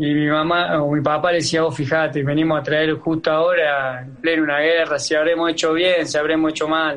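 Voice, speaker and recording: A man talks at a fairly quick pace. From Argentina, Santa Fe province. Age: 30s. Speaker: footballer. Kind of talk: interview. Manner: halting, many fillers.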